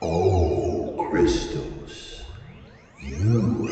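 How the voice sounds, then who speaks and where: A soft-spoken man does a put-on character voice. Strong echo and clear background noise surround him. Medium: read story. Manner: gentle, searching, condescending.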